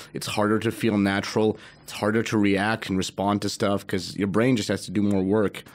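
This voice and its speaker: A man speaks at a fairly quick pace in a monotone, flat intonation. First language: Russian. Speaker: podcast host, comedian. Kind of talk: casual chat.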